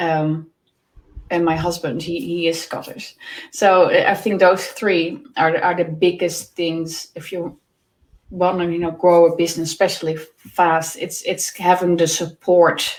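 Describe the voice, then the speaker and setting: A woman with a Dutch accent, fairly low pitch, fairly slow pace and fairly even intonation. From Netherlands. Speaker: work-life balance coach. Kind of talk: podcast interview. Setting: live video stream. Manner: halting, many repetitions.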